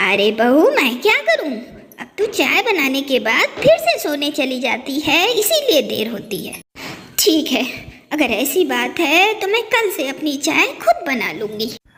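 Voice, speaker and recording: A cartoonish character voice talks at a moderate pace. Its pitch swings very widely. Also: woman, high pitch for a woman. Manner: calling everyone "bahu", guilt-tripping.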